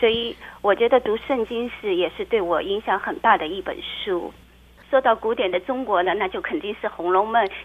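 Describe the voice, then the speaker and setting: This is an ordinary speaking voice with lively intonation, delivered at a moderate pace. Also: woman, fairly high pitch for a woman. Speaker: blogger and childcare worker. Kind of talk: interview.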